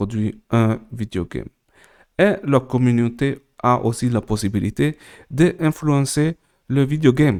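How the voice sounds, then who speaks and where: At a very slow pace, a man with a non-native accent speaks in a dark, mellow tone with lively intonation. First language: not French, more at ease in English (speaking French). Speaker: crypto tutorial creator. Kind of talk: tutorial. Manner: halting, many hesitations.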